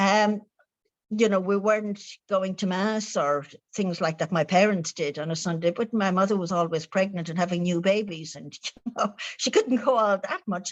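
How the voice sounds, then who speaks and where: The voice has an Irish accent and ordinary pitch variation. It moves at a moderate pace over a quiet background. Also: woman, medium pitch for a woman. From Ireland. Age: 70s. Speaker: spiritual author. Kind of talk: interview. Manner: cheerful.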